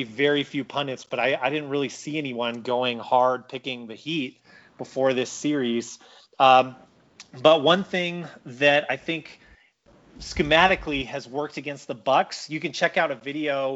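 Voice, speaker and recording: Fairly even intonation from a man, at a fairly slow pace. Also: fairly high pitch for a man. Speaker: sports podcast co-host. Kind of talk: casual chat. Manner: relaxed, mellow.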